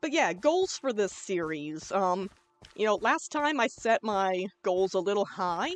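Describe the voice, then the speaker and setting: A loud woman of medium pitch at a fairly slow pace, with very wide pitch swings. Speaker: gaming YouTuber. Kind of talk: let's play commentary. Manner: casual, chill.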